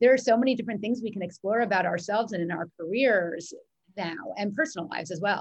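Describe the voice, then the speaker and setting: A woman's somewhat breathy, medium-pitched voice with an American accent, at a very fast pace with ordinary pitch variation. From New York. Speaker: mindset coach. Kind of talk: interview conversation.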